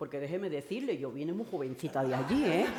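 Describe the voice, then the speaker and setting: In a very clean recording with a silent background, a woman with a dark, mellow tone moves through very wide pitch swings. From Caribbean. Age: 60s. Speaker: domestic workers' rights activist. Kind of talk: panel talk at feminist event. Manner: halting, with many repetitions.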